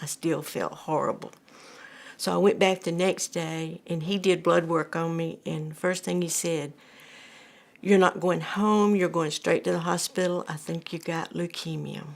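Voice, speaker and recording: Speaking with an Alabama accent, a woman keeps a fairly low pitch and a fairly slow pace. Her intonation is monotone and flat, on a very clean recording with a silent background. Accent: Southern US (Alabama). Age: 70s. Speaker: cancer patient. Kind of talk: testimony. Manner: halting.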